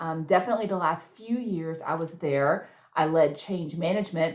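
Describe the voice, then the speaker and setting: In a Texan accent, a woman speaks at a moderate pace with a fairly low pitch over noticeable background noise. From Texas. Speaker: nonprofit CEO. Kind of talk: interview Q&A.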